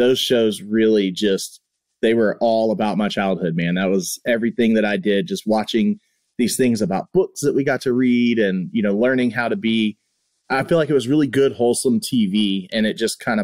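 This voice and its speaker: A man talks fairly quickly in a plain, everyday voice, at a medium pitch with ordinary pitch variation. The sound is dry and close with no echo. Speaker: podcast host. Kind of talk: casual interview chat.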